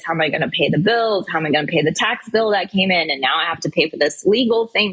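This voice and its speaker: A woman's voice over noticeable background noise. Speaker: financial advisor and speaker. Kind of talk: interview conversation.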